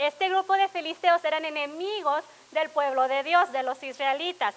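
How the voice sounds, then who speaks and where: Her pitch extremely high, a woman speaks at a moderate pace with ordinary pitch variation. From Laredo, Texas. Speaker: pastor. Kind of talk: sermon.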